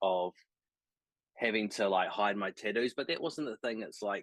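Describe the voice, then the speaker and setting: A man with a New Zealand accent speaks at a moderate pace in a fairly low pitch, the sound dry and close with no echo. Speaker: sales coach for creatives. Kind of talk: casual interview chat on a live stream. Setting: live stream video call.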